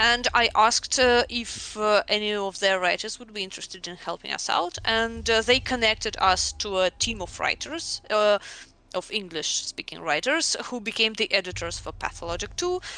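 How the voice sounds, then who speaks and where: Speaking at a moderate pace with a Russian accent, a woman uses a fairly high pitch, lively intonation and big swings in loudness. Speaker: game writer. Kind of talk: casual interview chat. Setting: voice call on livestream. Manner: halting, many fillers.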